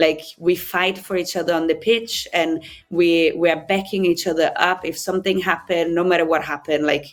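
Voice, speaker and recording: A woman with an Italian accent, fairly low in pitch, at a moderate pace with fairly even intonation. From Italy. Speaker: rugby player. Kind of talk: interview. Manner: halting.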